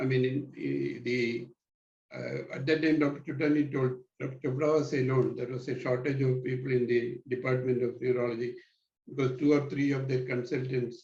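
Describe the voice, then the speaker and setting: Somewhat breathy, a man speaks at a moderate pace with monotone, flat intonation. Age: 70s. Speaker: neurologist. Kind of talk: interview. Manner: halting.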